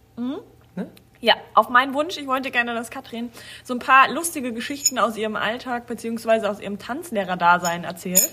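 With lively intonation and big swings in loudness, a woman talks at a moderate pace in a high pitch against noticeable background noise. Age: 40s. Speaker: dance school staff and podcast co-host. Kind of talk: casual chat.

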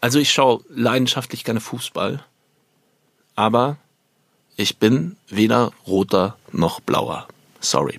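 A man speaks at a very slow pace with long, frequent pauses and vocal fry. His medium pitch varies in an ordinary way, with a dry, close sound and no echo. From Germany, Upper Bavaria. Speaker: stage actor. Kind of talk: theatrical monologue.

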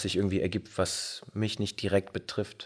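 Recorded very cleanly against a silent background, a man with a fairly low pitch speaks at a moderate pace in a monotone, flat intonation. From Bergisch Gladbach, near Cologne, Germany. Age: 30s. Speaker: band singer and guitarist. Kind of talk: casual interview chat. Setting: pub. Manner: hesitant, many fillers.

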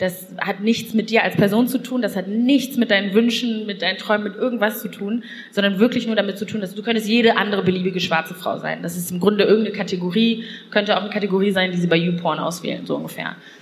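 Noticeable background noise under very fast speech and fairly even intonation. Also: woman, medium pitch for a woman. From Lower Rhine region, western Germany. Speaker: podcast host and columnist. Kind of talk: casual chat.

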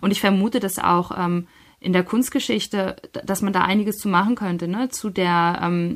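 In a very clean recording with a silent background, a woman with a medium pitch and a plain, everyday voice talks at a fairly quick pace with fairly even intonation. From northern Germany, Schleswig-Holstein. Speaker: novelist and literary scholar. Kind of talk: interview.

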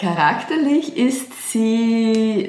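A woman speaks in an animated tone with ordinary pitch variation. Audible room echo and noticeable background noise surround her voice. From Lower Austria, Weinviertel. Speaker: podcast host, coach. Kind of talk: casual chat. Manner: animated, laughing.

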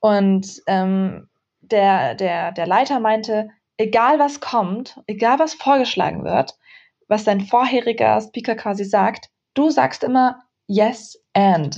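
A woman's intonation stays lively while she talks very slowly, with quiet all around her. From Germany. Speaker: author and tech speaker. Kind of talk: interview. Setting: remote call.

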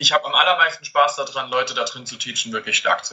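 A man at a fairly quick pace. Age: 20s. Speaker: calisthenics head coach. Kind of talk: interview. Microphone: far from the mic at times, poor connection.

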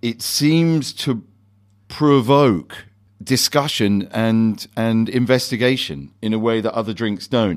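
A man speaks very slowly at a medium pitch with lively intonation, on a very clean recording with a silent background. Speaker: bar owner host of tasting. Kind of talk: casual guided tasting. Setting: basement bar.

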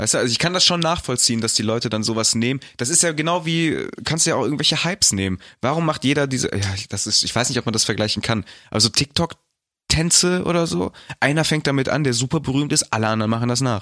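Speaking at a very fast pace, a man has a bright, sharp tone and lively intonation on a very clean recording with a silent background. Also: medium pitch for a man. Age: 20s. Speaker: podcast co-host. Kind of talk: casual chat.

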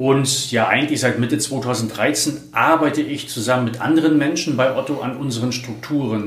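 A man's fairly bright, medium-pitched voice at a moderate pace, with ordinary pitch variation.

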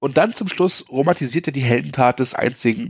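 This man's voice has vocal fry and lively intonation. The recording is very clean, with a silent background. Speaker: film podcast co-host. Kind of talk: casual chat.

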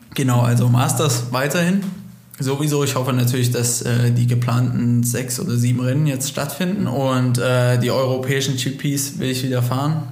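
A man is talking in a space with audible room echo. There is noticeable background noise too. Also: medium pitch for a man, moderate pace. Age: 20s. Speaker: motocross racer. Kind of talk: interview.

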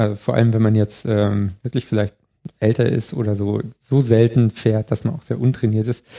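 This man's voice has a dark, mellow tone and medium pitch at a moderate pace. The sound is dry and close, with no echo. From Bavaria, Chiemgau. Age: 30s. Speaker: electromobility expert. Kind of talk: casual interview.

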